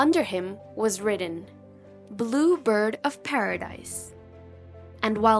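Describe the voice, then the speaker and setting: Music plays in the background as a woman speaks at a very slow pace. Her fairly high voice carries lively intonation. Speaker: audiobook narrator. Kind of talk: storybook narration.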